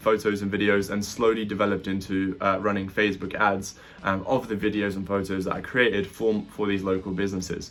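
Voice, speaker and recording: Over music in the background, a man talks at a fairly quick pace in a fairly low, monotone, flat voice. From UK, from age 10; born in Latvia. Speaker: entrepreneur, digital marketing agency owner. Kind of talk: interview Q&A monologue. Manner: casual, many fillers.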